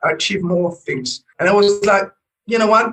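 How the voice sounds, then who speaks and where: A man with a French accent. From France. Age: 40s. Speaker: business coach. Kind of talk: interview. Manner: halting, many repetitions and fillers.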